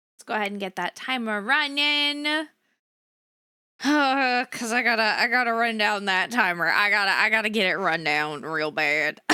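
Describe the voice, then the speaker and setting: Her voice has a bright, sharp tone and very wide pitch swings. This woman is heard on a very clean recording against a silent background. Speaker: vtuber streamer. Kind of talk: casual livestream chat. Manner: low energy.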